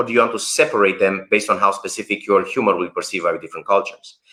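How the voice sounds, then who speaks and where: At a very fast pace, a man speaks with a non-native accent. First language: not English. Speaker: workshop founder and researcher. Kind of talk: live stream interview. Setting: online live stream. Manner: animated.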